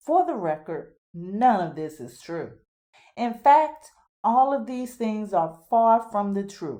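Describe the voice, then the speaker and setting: A woman's fairly high, dark and mellow voice with lively intonation, a fairly slow pace and a slight Southern US accent. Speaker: podcast host. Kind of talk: scripted monologue.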